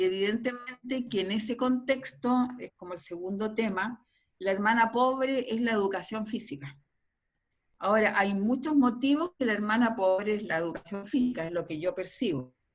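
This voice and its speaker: Fairly high in pitch and somewhat breathy, a woman talks at a moderate pace. Her intonation is lively. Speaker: physical education academic. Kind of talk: academic interview.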